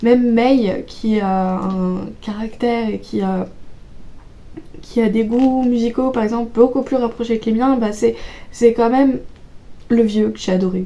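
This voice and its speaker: Speaking at a fairly slow pace with long, frequent pauses, a woman has a dark, mellow tone. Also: fairly even intonation. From Auvergne, France. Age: 20s. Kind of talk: casual book talk to camera.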